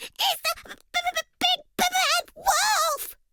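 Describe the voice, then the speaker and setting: Doing a put-on character voice, a woman speaks at an extremely high pitch with very wide pitch swings. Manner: exaggerated, silly.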